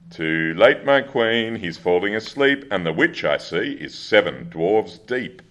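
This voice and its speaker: It is a put-on character voice with a sing-song delivery. The pace is moderate, with hardly any pauses. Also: man, medium pitch for a man. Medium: stage play. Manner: sing-song rhyming.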